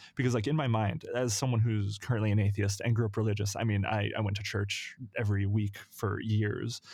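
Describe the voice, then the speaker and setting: A man speaks at a fairly quick pace in a normal speaking voice, pitched fairly low, with hardly any pauses. His intonation is fairly even and his loudness very even. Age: 20s. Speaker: podcast co-host. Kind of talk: casual chat.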